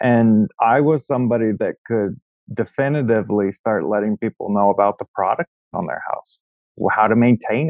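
The speaker keeps a moderate pace. Pitch variation is ordinary. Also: man. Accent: Pacific Northwest. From US Pacific Northwest. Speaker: real estate agent. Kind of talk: interview. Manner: jokey, self-deprecating.

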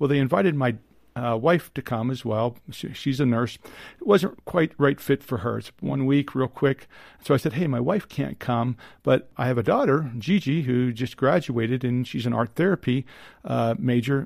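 A man talks at a moderate pace in an ordinary speaking voice, medium in pitch with ordinary pitch variation. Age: 50s. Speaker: psychiatrist. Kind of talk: interview.

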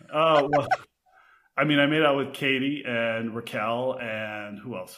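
Here a man talks at a medium pitch. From Texas. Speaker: restaurant manager and reality TV cast member. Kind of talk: casual chat. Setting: drinking red wine during recording. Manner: animated, laughs often.

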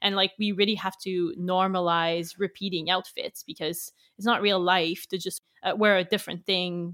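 A woman with a French Canadian accent, medium in pitch, monotone and flat in intonation, at a fairly quick pace. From Quebec. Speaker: magazine founder. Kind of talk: interview. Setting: remote recording.

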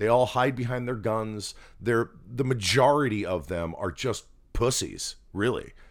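In an American accent, a man with a plain, everyday voice and medium pitch speaks at a fairly slow pace on a very clean recording with a silent background. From New Jersey. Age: 50s. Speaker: podcast co-host. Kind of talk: casual chat. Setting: home spare bedroom recording.

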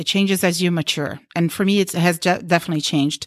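Recorded very cleanly with a silent background and a dry, close sound with no echo, a woman with a Portuguese accent speaks with ordinary pitch variation. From Brazil. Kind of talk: group discussion around a table.

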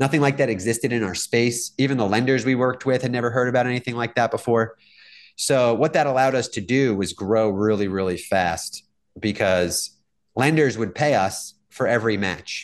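In a plain, everyday voice, a man speaks fairly quickly at a medium pitch with ordinary pitch variation against a quiet background. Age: 40s. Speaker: real estate tech entrepreneur. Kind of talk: interview.

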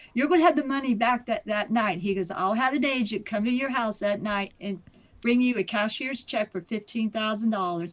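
A woman speaks at a moderate pace in a Midwestern American accent. Her pitch sits fairly high and varies in an ordinary way. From Ohio. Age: 60s. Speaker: scam victim. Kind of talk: testimony.

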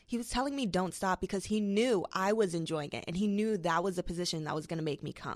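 Using an American accent, a woman talks at a very fast pace and medium pitch with ordinary pitch variation and hardly any pauses. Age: 20s. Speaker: social media comedian. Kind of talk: casual chat. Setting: studio.

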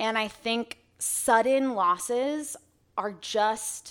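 Heard on a very clean recording with a silent background, a woman speaks with an American accent. Her voice is fairly high-pitched, with ordinary pitch variation. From Arizona. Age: 20s. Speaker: singer-songwriter. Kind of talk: casual chat.

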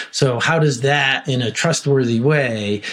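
A man with an American accent speaks at a fairly slow pace and medium pitch, with ordinary pitch variation, over noticeable background noise. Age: 50s. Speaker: technology executive. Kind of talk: interview. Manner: halting, many fillers.

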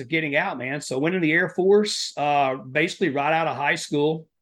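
This man has a fairly high pitch and a bright, sharp tone, with an Appalachian accent. He keeps a moderate pace and ordinary pitch variation. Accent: Appalachian Southern US. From US South, Southeast Kentucky (Appalachia). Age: 40s. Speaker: endurance athlete and Air Force veteran. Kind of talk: casual interview conversation. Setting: in-person podcast studio.

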